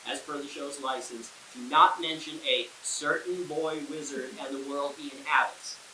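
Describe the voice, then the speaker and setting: Noticeable background noise and audible room echo surround a man speaking in a New York accent. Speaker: podcast host. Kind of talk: interview. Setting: in a theater. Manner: halting, filler words.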